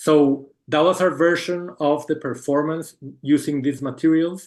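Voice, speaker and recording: Speaking at a very slow pace, a man has a Spanish accent and a fairly high pitch. His intonation is fairly even, and the background is quiet. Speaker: book artist presenting a project. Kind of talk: Q&A answer in an online talk. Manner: halting, many fillers and repetitions.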